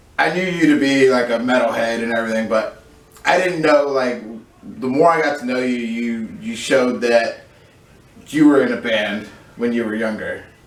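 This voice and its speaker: Audible room echo and noticeable background noise surround a man speaking. He talks at a moderate pace and a medium pitch, with ordinary pitch variation. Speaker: streamer. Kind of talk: casual chat.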